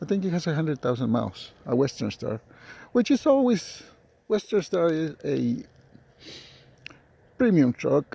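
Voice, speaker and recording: With a non-native accent and a dark, mellow tone, the voice moves at a moderate pace through very wide pitch swings and long, frequent pauses, dry and close with no echo. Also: man, fairly high pitch for a man. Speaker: truck driver. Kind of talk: casual talk to camera. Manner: hesitant, rambling.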